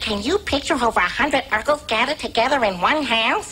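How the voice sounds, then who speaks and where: Clear background noise sits behind a cartoonish character voice that sounds female, pitched high and delivered at a very fast pace. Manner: haughty, prissy.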